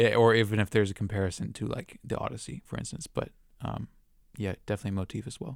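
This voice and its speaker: On a very clean recording with a silent background, a man with a fairly low pitch and vocal fry talks at a very fast pace with ordinary pitch variation. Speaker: film podcast co-host. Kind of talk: casual chat.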